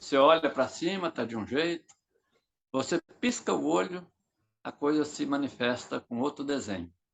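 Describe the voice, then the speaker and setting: A man with a fairly high pitch speaks at a moderate pace with lively intonation, broken by long, frequent pauses. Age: 60s. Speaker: politician. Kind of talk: political interview.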